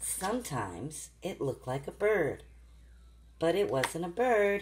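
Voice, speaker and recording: With light background noise behind it, the voice moves at a fairly slow pace in a warm, gentle tone. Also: woman. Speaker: grandmother reading to her granddaughter. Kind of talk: children's bedtime story reading. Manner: warm, gentle, interactive. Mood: gentle, warm, soothing. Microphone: phone near.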